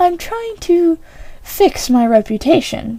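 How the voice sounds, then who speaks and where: An extremely high, squeaky put-on character voice from a woman, with very wide pitch swings and a fairly slow pace. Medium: read story.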